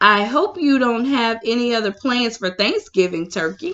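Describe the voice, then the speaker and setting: A woman performs a booming, put-on character voice at a fairly high pitch. Her intonation is lively and her pace moderate. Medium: read story. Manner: booming, friendly.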